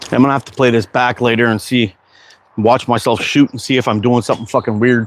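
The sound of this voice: A man at a medium pitch, fast pace and fairly even intonation.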